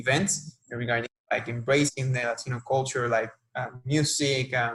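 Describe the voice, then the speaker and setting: A man with a Spanish accent speaks at a moderate pace and medium pitch. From Puerto Rico, Arecibo. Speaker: sports marketing professional. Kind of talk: interview. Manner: halting.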